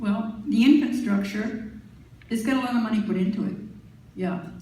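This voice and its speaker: There is audible echo from the room plus noticeable background noise as this woman talks. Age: 70s. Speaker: political candidate. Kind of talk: candidates debate.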